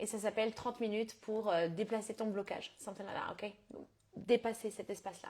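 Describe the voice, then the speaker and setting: A somewhat breathy woman with a fairly high pitch. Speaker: business coach. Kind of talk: live stream coaching talk. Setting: live stream. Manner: fast; casual with English code-switching.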